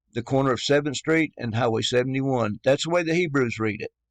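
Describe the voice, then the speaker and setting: Against a quiet background, a man's voice comes through dry and close, with no echo. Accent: Southern US. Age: 50s. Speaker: religious YouTuber. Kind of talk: religious monologue. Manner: halting.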